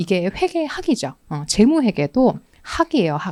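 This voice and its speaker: A woman's fairly high voice with very wide pitch swings, on a very clean recording with a silent background. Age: young. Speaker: exam prep lecturer. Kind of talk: course info session lecture. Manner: fast.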